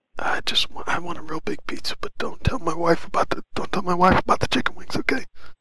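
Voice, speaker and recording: This put-on character voice is raspy and whispering. It moves at a moderate pace. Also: man. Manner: whispered, conspiratorial.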